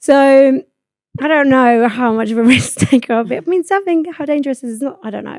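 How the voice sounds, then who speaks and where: In a British accent, a woman speaks at a high pitch and a fairly quick pace, her tone animated and her pitch varying in an ordinary way, with a dry, close sound and no echo. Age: 20s. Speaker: podcast host. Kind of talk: casual chat. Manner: fast.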